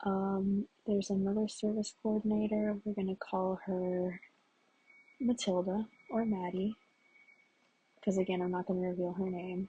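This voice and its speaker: A woman speaks quietly and somewhat breathy, her tone dark and mellow, at a moderate pace. Her intonation is monotone and flat, broken by long, frequent pauses. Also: medium pitch for a woman. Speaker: vlogger. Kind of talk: casual monologue.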